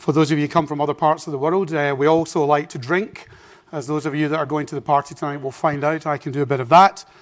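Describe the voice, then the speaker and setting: In a Scottish accent, a man speaks at a very fast pace with a fairly high pitch. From Scotland. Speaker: business executive, keynote speaker. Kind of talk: conference keynote. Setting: stage with audience. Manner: humorous, conversational.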